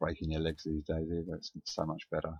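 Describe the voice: A man mumbles at a fast pace in an extremely low pitch, his flat, monotone delivery carrying a slightly husky edge and a slightly mellow tone.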